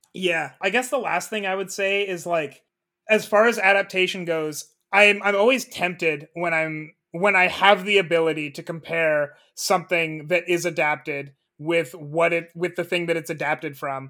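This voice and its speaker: This man has a high pitch and a bright, sharp tone, talking at a moderate pace with ordinary pitch variation. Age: 20s. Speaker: podcast co-host. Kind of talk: casual chat.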